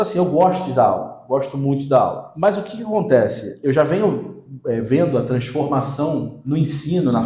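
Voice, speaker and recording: A man in a Rio de Janeiro accent at a fairly high pitch and fairly quick pace, with lively intonation, audible room echo and noticeable background noise. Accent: Rio de Janeiro (carioca). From Rio de Janeiro, Brazil. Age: 40s. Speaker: marketing specialist and teacher. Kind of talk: podcast interview.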